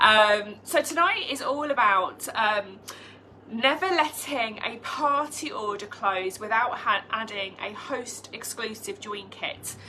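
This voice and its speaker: A woman's fairly high voice with a British accent and lively intonation, very slow in pace, over noticeable background noise. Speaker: direct sales team leader. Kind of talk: live team training. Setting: live video stream.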